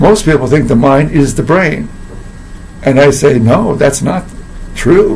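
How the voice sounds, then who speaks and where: Noticeable background noise fills the recording. Through it, a man speaks fairly slowly. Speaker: philosophy teacher and coach. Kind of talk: casual talk to camera.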